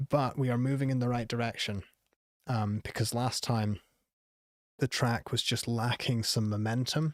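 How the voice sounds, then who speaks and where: On a very clean recording with a silent background, a man of medium pitch talks at a moderate pace with fairly even intonation. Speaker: music producer giving song feedback. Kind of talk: live stream feedback session. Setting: live stream. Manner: casual with many fillers; voice sometimes wavers when going live.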